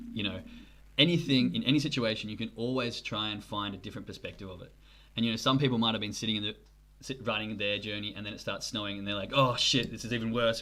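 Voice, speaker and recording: Talking at a very fast pace, a man with an Australian accent keeps a medium pitch and fairly even intonation. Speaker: podcast host. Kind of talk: interview.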